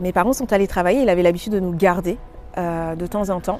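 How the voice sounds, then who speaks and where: The speaker is a woman with a medium pitch. Her intonation is fairly even. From Paris, France. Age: 30s. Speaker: testimony speaker. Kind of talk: testimony. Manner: halting, many filler words.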